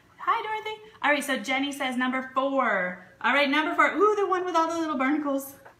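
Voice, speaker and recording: With an American accent, a woman projects her high voice in very wide pitch swings at a fairly quick pace, with hardly any pauses and audible room echo. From Vermont, US (Cambridge). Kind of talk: live stream sales chat. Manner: animated.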